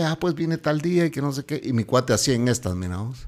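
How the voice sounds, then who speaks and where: In a very clean recording with a silent background, a man with an ordinary speaking voice talks at a medium pitch with lively intonation. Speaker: podcast host. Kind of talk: casual chat.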